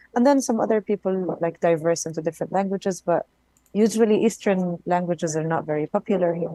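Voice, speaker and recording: A woman talks at a fairly quick pace. She has an Arabic accent. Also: dry, close sound with no echo. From Palestine. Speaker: game participant. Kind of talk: casual group chat.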